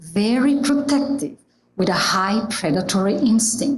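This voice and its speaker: A woman speaks at a fairly high pitch with an Italian accent. Her pace is very slow, and her pitch swings very widely. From Italy. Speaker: church member giving a reflection. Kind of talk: prepared reflection talk.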